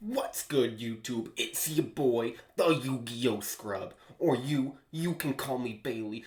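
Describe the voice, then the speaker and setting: Using a put-on character voice, a man speaks at a fairly slow pace with medium pitch and ordinary pitch variation. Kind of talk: casual. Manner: hyped, energetic.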